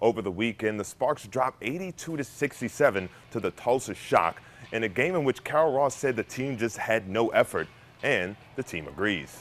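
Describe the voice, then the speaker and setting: A man with a plain, everyday voice speaks at medium pitch and a moderate pace, using lively intonation. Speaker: news reporter. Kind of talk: TV news reporting.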